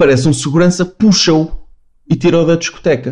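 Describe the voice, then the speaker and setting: This man has a fairly high pitch and speaks at a moderate pace. His pitch varies in an ordinary way. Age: 30s. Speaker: podcast guest. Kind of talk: casual chat. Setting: video call.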